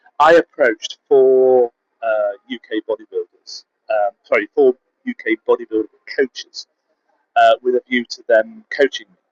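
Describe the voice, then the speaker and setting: The man's voice, dry and close with no echo, shows big swings in loudness. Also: moderate pace. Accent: British. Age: 60s. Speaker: competitive bodybuilder and coach. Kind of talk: casual vlog monologue. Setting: travel vlog in Budapest.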